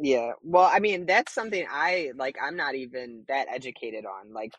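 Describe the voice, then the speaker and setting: A man in an ordinary speaking voice uses lively intonation while talking at a moderate speed. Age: 30s. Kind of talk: casual chat.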